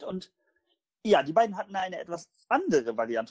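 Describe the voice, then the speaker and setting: High male voice at a fairly quick pace with very wide pitch swings, dry and close with no echo. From northern Germany, Hamburg. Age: 20s. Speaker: podcast host. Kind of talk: casual chat.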